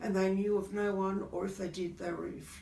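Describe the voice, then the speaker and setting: The speaker has an Australian accent and a moderate pace. Noticeable background noise and audible room echo fill the recording. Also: woman. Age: 60s. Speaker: customer. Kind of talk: testimony. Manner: halting.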